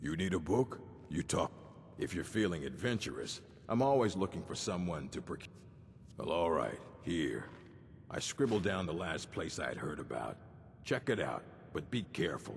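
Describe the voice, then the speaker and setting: Doing a put-on character voice, a man speaks very deep and low at a moderate pace, with long, frequent pauses over clear background noise. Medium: video game. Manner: gruff, curt.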